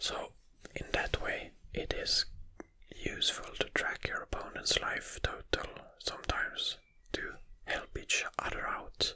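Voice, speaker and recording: A man whispers at a fairly slow pace with long, frequent pauses amid noticeable background noise. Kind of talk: ASMR whispered rambling. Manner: whispered.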